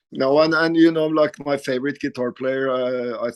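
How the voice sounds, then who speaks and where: A man with a Norwegian accent at a medium pitch, fairly slow and fairly even in intonation, in dry, close sound with no echo. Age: 50s. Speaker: rock guitarist. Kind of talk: casual interview. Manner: halting, repeats words.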